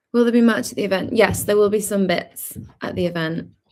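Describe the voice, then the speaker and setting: With vocal fry, a woman talks at a moderate pace and medium pitch, using ordinary pitch variation. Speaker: singer-songwriter. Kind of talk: livestream Q&A chat. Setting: livestream video premiere. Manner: casual, chatty. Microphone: bad internet, glitchy stream.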